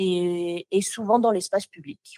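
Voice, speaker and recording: A woman with a slight Toulouse accent speaks in a dry, close sound with no echo. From southern France, Toulouse. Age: 20s. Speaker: motion designer. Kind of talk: podcast interview. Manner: sometimes searches for words.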